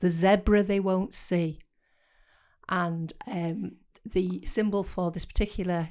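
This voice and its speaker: In a very clean recording with a silent background, a woman speaks with a British accent. Her pitch is medium and her intonation fairly even. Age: 70s. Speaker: podcast co-host. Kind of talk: casual chat. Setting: studio.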